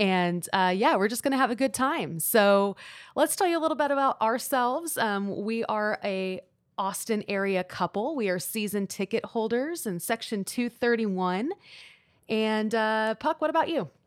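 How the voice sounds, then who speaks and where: An unremarkable speaking voice moves at a moderate pace with lively intonation. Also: woman, fairly high pitch for a woman, very clean recording, silent background. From Houston, Texas. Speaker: soccer podcast co-host. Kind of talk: casual chat.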